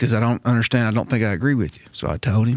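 Very fast, a man speaks at a medium pitch in a very clean recording with a silent background. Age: 40s. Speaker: first responder podcast host, martial arts instructor. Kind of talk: casual chat.

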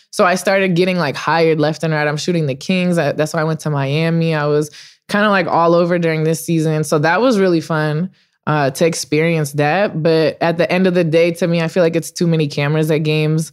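A woman's fairly low voice in a Californian accent, fairly quick and fairly even in intonation, with very even loudness on a very clean recording against a silent background. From Los Angeles. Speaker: sports photographer. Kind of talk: casual chat.

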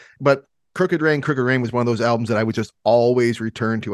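Speaking at a very fast pace, a man uses an American accent with ordinary pitch variation. The sound is dry and close, with no echo. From Michigan. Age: 40s. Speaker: podcast host. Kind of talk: casual chat.

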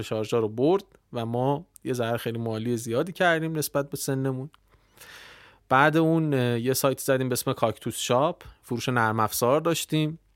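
In a very clean recording with a silent background, a man talks at a fairly quick pace in a plain, everyday voice with ordinary pitch variation. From Iran, Tehran. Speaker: internet entrepreneur. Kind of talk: casual interview.

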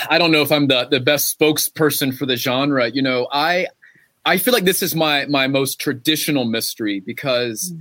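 In a bright, sharp tone, a man with a fairly high pitch and an American accent speaks with ordinary pitch variation. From western North Carolina. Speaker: novelist. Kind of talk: author interview; reading aloud. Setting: bookstore with live audience.

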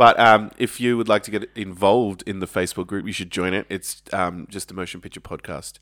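A man with an unremarkable speaking voice talks at a fairly low pitch, with fairly even intonation, big swings in loudness and hardly any pauses, in a very clean, silent recording that sounds dry and close with no echo. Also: fairly quick pace. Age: 30s. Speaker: podcast host. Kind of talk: casual chat.

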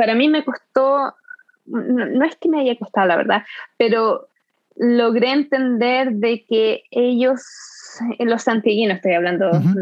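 Speaking fairly slowly, a woman has an unremarkable speaking voice with a fairly high pitch. Her pitch varies in an ordinary way, and her loudness stays very even. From Chile, Concepción area (south-central). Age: 30s. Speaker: immigrant interviewee. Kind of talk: interview conversation.

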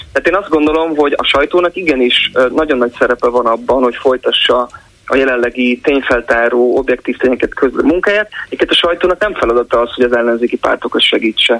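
A man talks at a very fast pace with a fairly high pitch. His loudness stays very even, and his pitch varies in an ordinary way. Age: 30s. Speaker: sociologist and musician. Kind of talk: phone-in interview. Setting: phone call.

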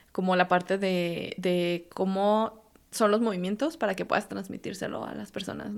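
Here is a woman with an ordinary speaking voice at a medium pitch. She keeps a moderate pace and fairly even intonation. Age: 30s. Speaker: software engineer and fitness instructor. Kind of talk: casual interview.

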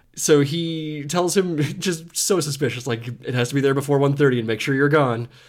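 A man with a normal speaking voice and a fairly high pitch keeps a moderate pace. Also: ordinary pitch variation. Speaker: podcast host. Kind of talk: casual chat.

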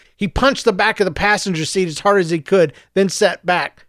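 The recording consists of plain reading aloud.

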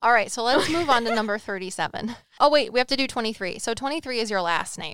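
Very fast pace with lively intonation. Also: woman, fairly high pitch for a woman. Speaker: psychic medium podcast co-host. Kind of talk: casual chat.

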